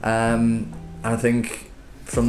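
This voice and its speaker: A man speaks in a fairly low voice with a Liverpool accent. Audible room echo surrounds him. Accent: Liverpool (Scouse). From Liverpool, England. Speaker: property developer. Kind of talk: business interview. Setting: office. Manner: hesitant, many fillers.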